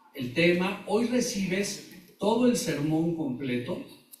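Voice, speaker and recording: A man talks at a fairly slow pace in a fairly high pitch. Room echo is audible and background noise is noticeable. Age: 60s. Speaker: pastor. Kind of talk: sermon. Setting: church.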